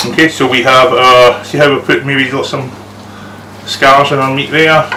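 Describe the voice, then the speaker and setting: A man talks at a moderate pace with a fairly high pitch and monotone, flat intonation. Noticeable background noise runs under his voice. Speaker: cooking show host. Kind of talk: live cooking demonstration. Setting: outdoors.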